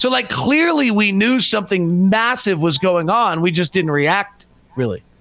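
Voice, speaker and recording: With noticeable background noise behind him, a high-pitched man speaks at a moderate pace with lively intonation and very even loudness. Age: 40s. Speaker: basketball radio play-by-play announcer. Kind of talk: casual chat. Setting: video call.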